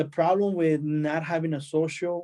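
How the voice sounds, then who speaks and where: A man with a Spanish accent and a dark, mellow tone speaks at a fairly slow pace with monotone, flat intonation. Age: 20s. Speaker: immigrant panelist. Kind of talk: testimony. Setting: webinar.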